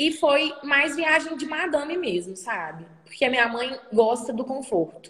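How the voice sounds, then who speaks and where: A woman with a high-pitched voice talks at a moderate pace over noticeable background noise. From Brazil, Minas Gerais (small town). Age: 20s. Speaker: economics student and traveler. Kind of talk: casual interview.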